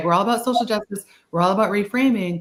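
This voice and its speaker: This woman's fairly high voice moves with lively intonation. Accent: slight Boston. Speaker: social work speaker. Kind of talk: webinar discussion. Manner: casual, animated.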